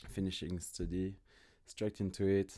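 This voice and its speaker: The tone is dark and mellow, with a French accent. Intonation stays monotone and flat. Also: man. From France, small village. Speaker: fitness business owner. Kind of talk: podcast interview.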